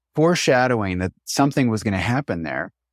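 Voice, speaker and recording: A man with an unremarkable speaking voice talks at a medium pitch with lively intonation, recorded dry and close with no echo. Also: very clean recording, silent background. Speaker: bodywork practitioner and cleaning business owner. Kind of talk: casual interview about grief.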